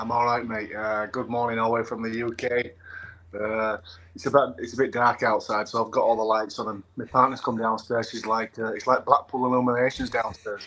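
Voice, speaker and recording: A man's medium-pitched voice with a northern English accent, bright, sharp tone, monotone, flat intonation and fairly quick pace. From England. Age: 40s. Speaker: former rugby league player. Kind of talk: interview.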